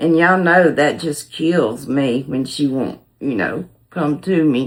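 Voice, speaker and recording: A woman with a Southern US accent, a very deep, low pitch, ordinary pitch variation, and a fairly slow pace. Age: 60s. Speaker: cooking channel host. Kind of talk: casual chat. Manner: hesitant, many filler words.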